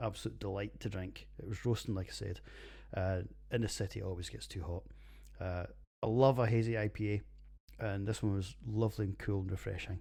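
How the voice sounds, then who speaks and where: Talking at a fairly quick pace, a man with a Scottish accent has a fairly low pitch and a dark, mellow, somewhat breathy tone, recorded very cleanly against a silent background. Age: 40s. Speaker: podcast host, beer reviewer. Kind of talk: casual monologue podcast. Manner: animated.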